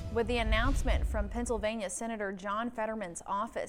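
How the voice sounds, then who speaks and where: Against music in the background, a woman speaks at a fairly high pitch and a moderate pace. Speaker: TV news anchor. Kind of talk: TV newscast read.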